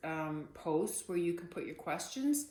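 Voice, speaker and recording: Soft-spoken woman of medium pitch at a moderate pace. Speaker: artist teaching painting. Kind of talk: casual tutorial. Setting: home art studio. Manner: soft-spoken, keeping voice down; hesitant, many fillers.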